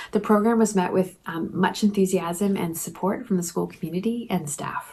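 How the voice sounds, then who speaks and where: Slightly breathy and dark and mellow in tone, a woman talks at a moderate pace with a medium pitch and ordinary pitch variation. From Canada. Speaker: language teacher. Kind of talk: conference presentation. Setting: pre-recorded while traveling. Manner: prepared, measured with fillers.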